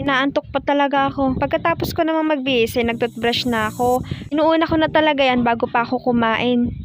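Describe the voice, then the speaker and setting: A woman with a high-pitched voice speaks at a fairly quick pace, with hardly any pauses and fairly even intonation. There is noticeable background noise. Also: very even loudness. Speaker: vlogger. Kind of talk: vlog narration. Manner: low-energy.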